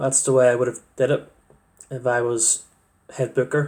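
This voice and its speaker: Speaking at a moderate pace, a man with a Northern Irish accent has a medium pitch. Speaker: wrestling fan vlogger. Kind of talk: casual monologue. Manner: halting, many fillers.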